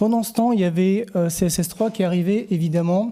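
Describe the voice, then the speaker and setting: On a very clean recording with a silent background, a man talks at a high pitch and moderate pace, his tone dark and mellow and his intonation fairly even. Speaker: conference speaker, web developer. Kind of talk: conference talk. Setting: stage with audience. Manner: hesitant, many fillers.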